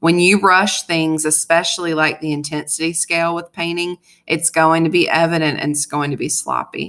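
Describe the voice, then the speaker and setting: A woman's fairly low-pitched voice in a monotone, flat delivery. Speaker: high school art teacher. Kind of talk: tutorial. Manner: fast; casual.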